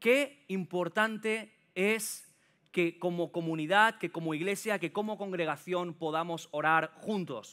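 Against a quiet background, a man talks at a fairly slow pace. His voice is high-pitched with a bright, sharp tone. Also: ordinary pitch variation. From Catalonia, Sant Boi de Llobregat (Barcelona area); Catalonia. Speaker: preacher. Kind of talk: sermon. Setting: church with congregation. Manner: animated. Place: church. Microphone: headset.

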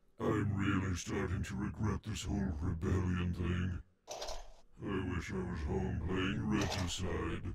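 A man in a put-on character voice speaks at a fairly slow pace with a very deep, low pitch. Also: hardly any pauses. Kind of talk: comic dub. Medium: dub. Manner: nervous.

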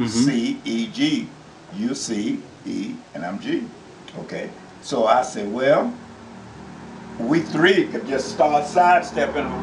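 Over noticeable background noise, the speech goes at a very slow pace. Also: man. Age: 80s+. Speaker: piano teacher. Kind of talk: casual piano lesson. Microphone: phone near.

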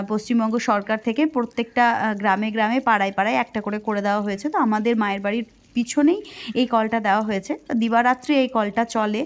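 Fairly high in pitch, a woman talks with fairly even intonation in a normal speaking voice. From West Bengal, India. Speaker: village life vlogger. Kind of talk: vlog narration.

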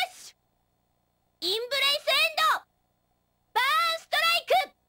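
A woman performs a put-on character voice. Her pitch is extremely high and swings very widely. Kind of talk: video game character lines. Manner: playful, varied.

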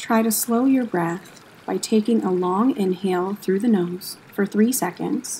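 A woman with an unremarkable speaking voice, medium pitch, ordinary pitch variation and a fairly slow pace. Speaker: yoga instructor and museum educator. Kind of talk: guided meditation. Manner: slow, soft and soothing, with long calm pauses between cues; gentle, even and unhurried, hushed.

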